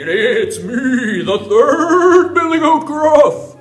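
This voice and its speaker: An extremely high-pitched put-on character voice from a man, at a very slow pace. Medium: read story. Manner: bold, defiant.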